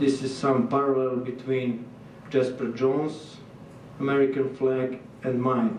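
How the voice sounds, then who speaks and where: Speaking with a Serbian accent at a fairly slow pace, a man with medium pitch uses monotone, flat intonation and long, frequent pauses, with audible room echo and noticeable background noise. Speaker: visiting artist. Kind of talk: lecture. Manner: halting.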